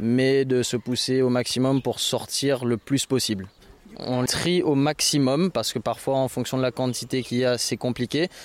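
A man's ordinary speaking voice at medium pitch, moderate pace, very even loudness and fairly even intonation, with a dry, close sound and no echo. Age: 20s. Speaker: volunteer association founder. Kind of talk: interview; briefing volunteers.

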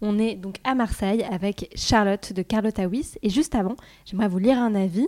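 A woman with a fairly high pitch, a dark, mellow tone and ordinary pitch variation speaks at a fairly slow pace in a dry, close sound with no echo, in a very clean recording with a silent background. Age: 20s. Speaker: podcast host and startup cofounder. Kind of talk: casual interview chat. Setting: in a restaurant in Marseille.

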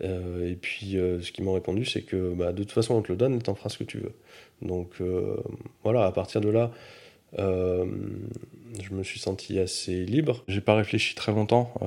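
Pitched fairly low, a man speaks at a fairly slow pace. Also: fairly even intonation. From France, Grenoble area. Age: 30s. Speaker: philanthropist, foundation founder. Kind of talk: interview testimony. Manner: halting, many hesitations.

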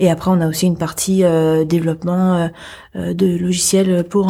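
A woman speaks in a dark, mellow, somewhat breathy voice that sits fairly low in pitch. Her intonation stays monotone and flat. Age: 20s. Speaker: lead software developer. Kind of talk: interview.

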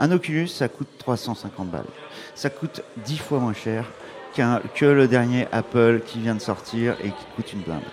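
Clearly audible background noise accompanies a man who talks somewhat slowly. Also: medium pitch for a man, ordinary pitch variation. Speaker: startup founder. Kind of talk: interview. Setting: live event with audience. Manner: energetic.

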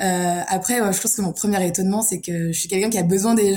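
A woman talks at a fairly quick pace. Her intonation is fairly even, with noticeable background noise. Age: 20s. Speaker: food industry sales manager. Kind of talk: casual chat.

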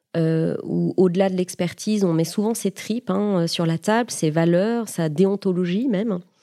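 Her pitch is medium and her tone dark and mellow. The woman speaks at a fairly slow pace with hardly any pauses. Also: ordinary pitch variation. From Paris region, France. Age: 40s. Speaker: HR director. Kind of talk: interview.

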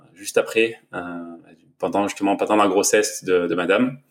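A very clean recording of a man, with a silent background. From southern France, Var. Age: 30s. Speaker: entrepreneur and new father. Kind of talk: casual interview.

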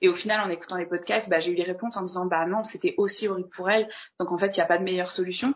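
A woman rattles along at a very fast pace, her medium-pitched voice keeping fairly even intonation. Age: 20s. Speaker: interviewee sharing abortion experience. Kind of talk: personal testimony.

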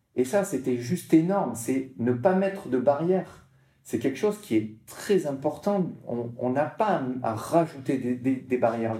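With lively intonation and a medium pitch, a man speaks at a fairly slow pace. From southern France, Martigues near Marseille. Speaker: para-surfer, motivational speaker. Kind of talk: interview. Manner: halting, many repetitions.

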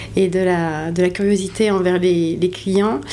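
Amid noticeable background noise and audible room echo, a woman speaks at a medium pitch and fairly slow pace with fairly even intonation. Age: 30s. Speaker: hotel operations director. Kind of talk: interview. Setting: on location at the hotel.

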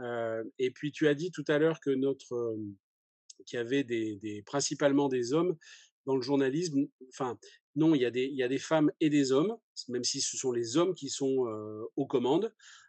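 A medium-pitched man at a moderate pace, with ordinary pitch variation, long and frequent pauses, and a dry, close sound with no echo against a quiet background. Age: 50s. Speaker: journalist. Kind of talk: interview. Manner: hesitant, many fillers.

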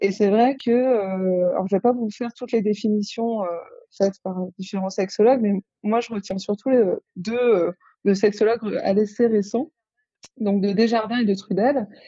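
The voice has a dark, mellow tone and fairly even intonation, moving at a moderate pace with long, frequent pauses. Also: woman, fairly high pitch for a woman. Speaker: psychiatrist studying sexology. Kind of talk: casual interview. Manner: hesitant, thinking aloud.

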